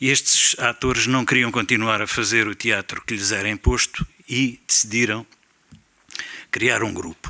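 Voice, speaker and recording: A man's bright, sharp voice at a fairly slow pace, monotone and flat, with long, frequent pauses. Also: medium pitch for a man. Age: 70s. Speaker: theatre veteran. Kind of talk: round-table talk. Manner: hesitant fillers.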